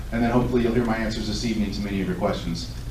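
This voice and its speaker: A medium-pitched male voice with ordinary pitch variation, audible room echo and noticeable background noise. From Southern California. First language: Lithuanian. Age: 40s. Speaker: political candidate. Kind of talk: candidate forum speech. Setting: public event with audience.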